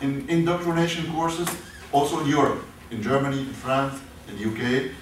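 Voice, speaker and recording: Lively intonation marks a man's fairly high voice with an Arabic accent at a moderate pace. Noticeable background noise and audible room echo come through. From Syria, Damascus. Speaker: professor. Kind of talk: lecture. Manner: halting, many hesitations.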